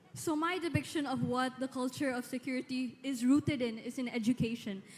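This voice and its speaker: A woman speaks at a high pitch. Noticeable background noise runs under her voice. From Philippines. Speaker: beauty pageant contestant. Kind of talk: pageant Q&A answer. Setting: stage with audience.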